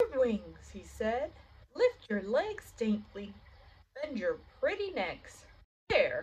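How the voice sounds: Against a quiet background, a natural reading voice comes through.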